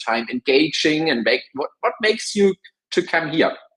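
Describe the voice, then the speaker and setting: The speaker is a man. He talks at a moderate pace. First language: not English. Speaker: webinar speaker on AI in marketing. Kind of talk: webinar presentation.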